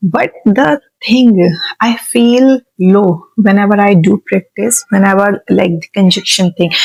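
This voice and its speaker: Speaking very slowly with an Indian accent, the voice holds a very even loudness over background music, with a dry, close sound and no echo. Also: woman, medium pitch for a woman, ordinary pitch variation. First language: Hindi. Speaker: vlogger learning English. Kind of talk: unscripted self-talk vlog. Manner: halting, many fillers.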